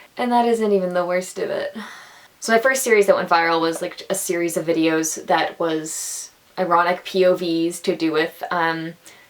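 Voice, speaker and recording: Over noticeable background noise, a woman talks at a moderate pace in a fairly low voice with ordinary pitch variation. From Atlantic Canada. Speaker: actor, theatre student. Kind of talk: casual talk to camera.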